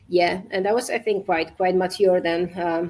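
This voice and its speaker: In a Polish accent, a woman with a medium-pitched voice speaks at a fairly quick pace. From Poland. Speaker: safety culture consultant and entrepreneur. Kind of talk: podcast interview. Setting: live video podcast. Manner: halting.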